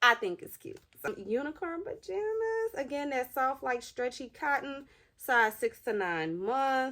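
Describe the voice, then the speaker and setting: On a very clean recording with a silent background, a woman speaks fairly slowly in an animated tone that is bright and sharp, her pitch swinging very widely. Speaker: mom vlogger doing hauls. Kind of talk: casual unboxing haul vlog. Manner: animated, chatty.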